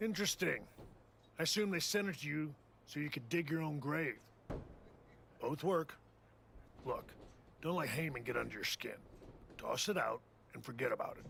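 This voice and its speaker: A man's raspy, put-on character voice, fairly high in pitch, at a moderate pace with long, frequent pauses, over clear background noise. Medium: video game.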